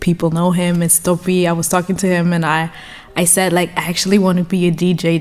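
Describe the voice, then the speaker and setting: Speaking with a German accent, a woman talks at a fairly low pitch. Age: 20s. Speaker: DJ and journalist. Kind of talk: interview. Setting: studio. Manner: hesitant, repeats words.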